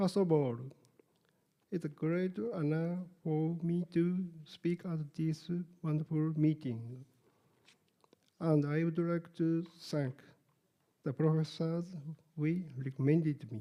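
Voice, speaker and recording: A fairly high-pitched man with a Japanese accent, his tone dark and mellow, at a very slow pace with fairly even intonation and long, frequent pauses. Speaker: sonographer. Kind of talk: conference lecture.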